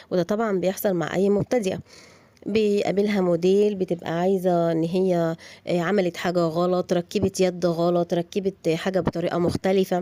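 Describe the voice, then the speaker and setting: Her medium-pitched voice stays monotone and flat as this woman speaks. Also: moderate pace. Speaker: upholstery sewing teacher. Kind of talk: casual talk to viewers about courses. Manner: hesitant with fillers.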